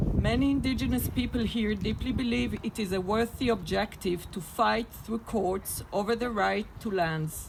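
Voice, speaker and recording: Speaking at a moderate pace in an Israeli accent, the voice comes through over noticeable background noise. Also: woman. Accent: non-native, Israeli. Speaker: activist speaker at a peace rally. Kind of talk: rally speech.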